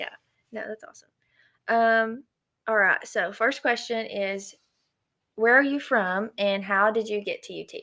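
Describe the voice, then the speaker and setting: A woman's fairly high, bright, sharp voice with a Southern accent, fairly slow and fairly even in intonation, with big swings in loudness and long, frequent pauses. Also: very clean recording, silent background. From East Tennessee. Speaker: student ministry podcast host. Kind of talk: casual interview.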